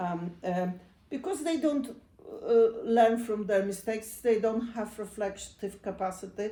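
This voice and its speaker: At a fairly slow pace, a woman speaks with a Polish accent and a fairly high pitch. Her tone is dark and mellow, with ordinary pitch variation. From Poland. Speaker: psychotherapist. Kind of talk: talk. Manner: halting.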